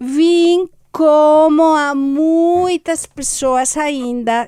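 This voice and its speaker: The woman's fairly even intonation comes through on a very clean recording with a silent background. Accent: Galician. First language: Galician (speaking Portuguese). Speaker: foreign journalist, weekly commentator. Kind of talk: radio panel commentary.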